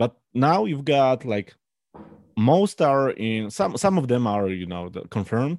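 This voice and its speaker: Speaking fairly slowly with a Polish accent, a man at a medium pitch makes very wide pitch swings. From Poland. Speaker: beer judge and brewer. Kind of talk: casual interview chat. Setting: video call.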